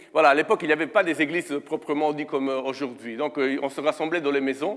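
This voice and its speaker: This is a man speaking. His pitch is fairly high. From Italy. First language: Italian (speaking French). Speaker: guest preacher. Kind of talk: sermon. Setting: church. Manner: hesitant, many fillers.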